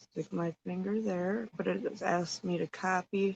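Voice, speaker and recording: A woman speaks quietly, and the sound is dry and close with no echo. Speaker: livestream host. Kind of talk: casual livestream chat with viewers. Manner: quiet, subdued.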